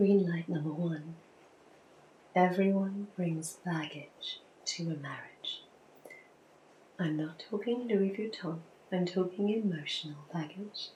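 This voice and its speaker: Soft-spoken and very slow, a woman talks at a medium pitch with ordinary pitch variation and long, frequent pauses. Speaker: ASMR creator. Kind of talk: ASMR relationship talk. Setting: rain in background.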